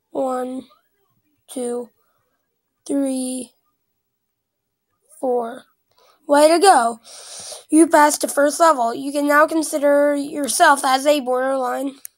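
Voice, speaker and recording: A squeaky, high-pitched woman's voice, very slow, with long, frequent pauses and fairly even intonation. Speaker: gaming YouTuber. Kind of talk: gameplay commentary. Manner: casual, reactive.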